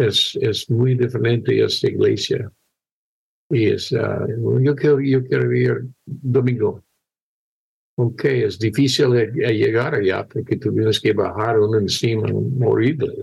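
A man speaks at a very slow pace with very even loudness. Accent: English. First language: English (speaking Spanish). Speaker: missionary pastor. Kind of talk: testimony. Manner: halting.

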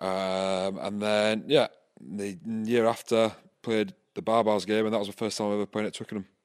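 A man speaks with a slight Scottish accent at a moderate pace, his pitch fairly low and his intonation fairly even. The recording is very clean, with a silent background. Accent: Scottish-tinged. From Scotland. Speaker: rugby player. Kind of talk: casual interview chat.

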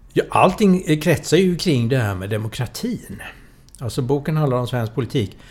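A man with a fairly high pitch and a somewhat breathy voice speaks at a moderate pace, his pitch swinging very widely. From Sweden, Gothenburg. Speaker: political scientist and author. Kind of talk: interview.

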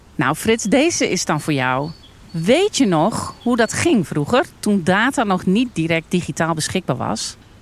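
A woman's medium-pitched voice at a fairly slow pace, with very wide pitch swings. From Netherlands, North Brabant (Almkerk). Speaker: farmer and entrepreneur. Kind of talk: casual discussion. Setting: outdoors at a farm picnic table.

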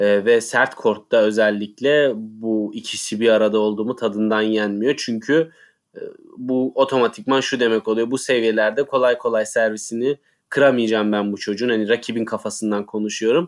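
A man with an ordinary speaking voice, medium pitch, fairly even intonation and a moderate pace, in a very clean recording with a silent background. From Turkey. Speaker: tennis podcast co-host. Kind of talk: casual chat.

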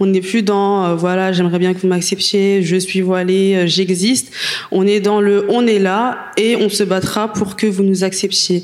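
A woman at medium pitch, slow-ish pace, very even loudness and monotone, flat intonation, amid noticeable background noise. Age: 20s. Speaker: activist, association president. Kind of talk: panel discussion.

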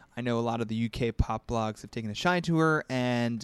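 A man talks in an ordinary speaking voice at a medium pitch and moderate pace. The recording is very clean, with a silent background and a dry, close sound with no echo. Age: 20s. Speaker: music journalist. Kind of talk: casual chat.

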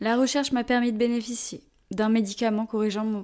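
Over a silent background in a very clean recording, a woman speaks at a fairly slow pace. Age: 20s. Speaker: personal storyteller. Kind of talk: scripted narration.

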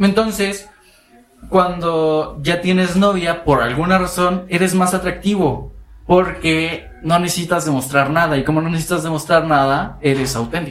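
A man's high-pitched voice at a fairly slow pace, fairly even in intonation, with audible room echo. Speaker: podcast co-host. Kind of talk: casual chat.

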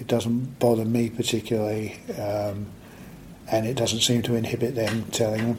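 Audible room echo surrounds a man speaking at a moderate pace. His pitch is medium and his intonation is monotone and flat. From southern England (Aldershot, Hampshire). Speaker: author. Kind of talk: interview.

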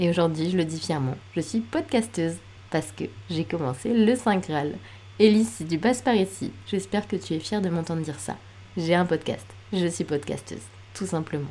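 Her voice is fairly low in pitch, dark and mellow, with vocal fry. This woman speaks at a moderate pace with very wide pitch swings and long, frequent pauses. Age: 30s. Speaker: podcast host and blogger, new mother. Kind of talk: solo personal storytelling podcast. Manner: casual, chatty.

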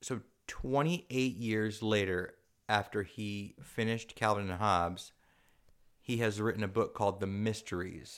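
On a very clean recording with a silent background, a man with an American accent uses an ordinary speaking voice, fairly low in pitch, at a moderate pace with ordinary pitch variation. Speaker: podcast co-host. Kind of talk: casual chat. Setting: at home.

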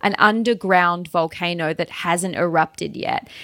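A woman with an Australian accent speaks at a moderate pace with ordinary pitch variation and a bright, sharp tone, the sound dry and close with no echo. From Tasmania, Australia. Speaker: travel blogger and entrepreneur. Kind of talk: interview.

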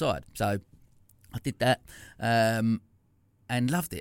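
Man with an Essex accent and ordinary pitch variation, on a very clean recording with a silent background. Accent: Essex twang. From Essex, England. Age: 40s. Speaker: entrepreneur, former salon owner. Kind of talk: casual interview. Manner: halting, many false starts.

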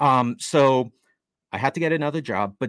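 An unremarkable speaking voice comes from a man with an American accent. He uses a medium pitch and a moderate pace. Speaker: real estate investor and author. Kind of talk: interview.

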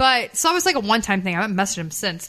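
Over music in the background, a woman speaks with an American accent at a fairly high pitch. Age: 20s. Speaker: host's daughter, reality TV personality. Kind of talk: casual chat.

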